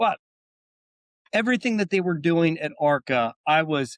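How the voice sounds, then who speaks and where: Recorded very cleanly with a silent background and a dry, close sound with no echo, a man with a Philadelphia accent speaks at a moderate pace. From US Northeast, Philadelphia. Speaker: AI software company executive. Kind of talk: podcast interview.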